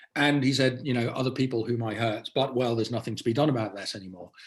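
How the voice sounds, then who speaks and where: A man talks at a very fast pace with a medium pitch. His voice is somewhat breathy, with ordinary pitch variation. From Netherlands (British family). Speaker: author and journalist. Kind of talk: interview conversation.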